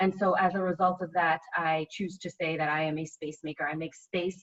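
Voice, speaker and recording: In an American accent, a woman with a normal speaking voice talks at a moderate pace, her fairly low pitch held in fairly even intonation. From Boston area, US. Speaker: architect and spoken word artist. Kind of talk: panel discussion.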